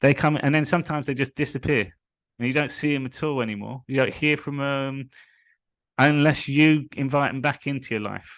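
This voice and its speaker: Against a quiet background, a man with a London accent speaks at a fairly high pitch. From England, London (Hillingdon). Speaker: spiritual coach. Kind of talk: live stream monologue.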